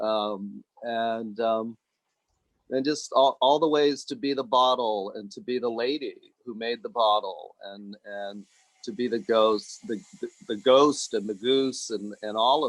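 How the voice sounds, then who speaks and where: Loudness swings widely as a man at a medium pitch speaks at a fairly slow pace with ordinary pitch variation. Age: 60s. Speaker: meditation group participant. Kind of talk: sharing in online group. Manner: halting, many fillers.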